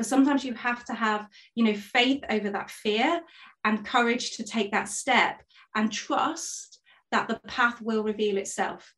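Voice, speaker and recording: Fairly even intonation and a fairly slow pace from a woman pitched fairly high. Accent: East Midlands. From Nottingham, England. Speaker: performance consultant. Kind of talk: interview.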